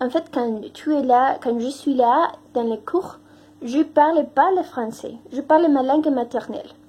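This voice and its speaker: In a high pitch, a woman speaks with a Spanish accent at a very slow pace. Noticeable background noise runs behind her. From Mexico. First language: Spanish (speaking French). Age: 20s. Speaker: language teaching assistant. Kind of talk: testimony. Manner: halting, many hesitations.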